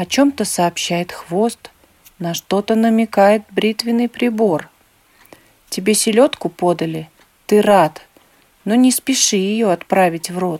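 A woman speaks at a very slow pace and a medium pitch, with long, frequent pauses. The sound is dry and close with no echo, and her pitch variation is ordinary. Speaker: reader of poems and tales. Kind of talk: children's verse reading, scripted narration. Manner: animated storyteller, lively rhythmic sing-song delivery.

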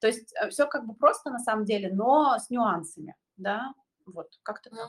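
A woman uses a normal speaking voice, fairly high in pitch with ordinary pitch variation. She speaks at a moderate pace, with big swings in loudness. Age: 30s. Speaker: astrologer. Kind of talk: casual chat.

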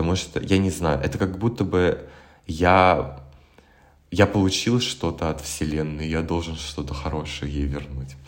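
A man talks at a fairly slow pace in a very deep, low voice with vocal fry. Room echo is audible. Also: ordinary pitch variation. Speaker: musician and graduate student. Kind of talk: casual chat. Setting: remote call.

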